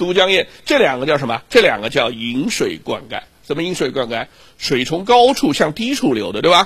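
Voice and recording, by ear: In a natural voice, the passage is read aloud.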